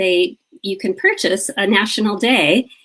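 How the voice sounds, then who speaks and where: A woman speaks in an ordinary speaking voice, with ordinary pitch variation. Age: 60s. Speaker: grief and living-fully advocate. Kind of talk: interview conversation.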